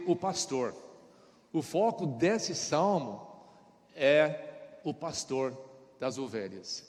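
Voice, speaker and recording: With an American accent, a man speaks with lively intonation. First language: English (speaking Portuguese). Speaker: pastor. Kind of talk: sermon. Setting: church. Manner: halting.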